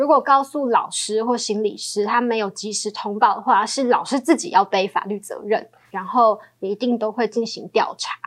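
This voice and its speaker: Delivered in a plain, everyday voice, the speech keeps ordinary pitch variation and a moderate pace. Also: woman. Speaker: podcast host. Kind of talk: interview; scripted show introduction.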